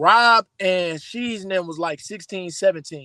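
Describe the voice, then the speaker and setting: A high-pitched man with an American accent, raised and projected, bright and sharp in tone, animated, lively in intonation, in a dry, close sound with no echo. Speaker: rapper. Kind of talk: casual interview chat. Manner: loud.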